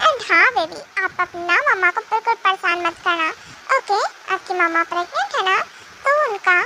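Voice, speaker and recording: A put-on character voice pitched extremely high, delivered at a moderate pace. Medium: fan dub. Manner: soft, affectionate.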